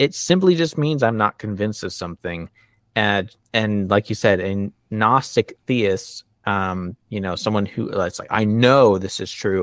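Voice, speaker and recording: A man speaks at a fairly slow pace in a plain, everyday voice, fairly low-pitched with ordinary pitch variation. The recording is very clean and dry, close with no echo and a silent background. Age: 30s. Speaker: atheist content creator. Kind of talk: casual chat.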